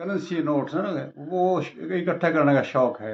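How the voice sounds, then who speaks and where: A man talks with ordinary pitch variation. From rural Haryana, India. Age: 80s+. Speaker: painting artist. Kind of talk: interview answer.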